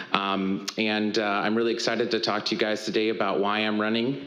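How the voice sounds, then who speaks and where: A man talks with an American accent at a fairly low pitch and with fairly even intonation. Audible room echo and noticeable background noise fill the recording. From Tacoma, Washington, US Pacific Northwest. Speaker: political candidate, military veteran. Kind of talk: candidate forum opening statement.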